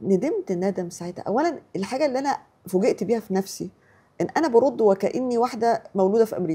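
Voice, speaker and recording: Speaking at a fairly quick pace with lively intonation, a woman uses a fairly high, somewhat breathy voice with a dark, mellow tone. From Egypt. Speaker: writer. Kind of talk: interview storytelling. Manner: halting, repeats syllables.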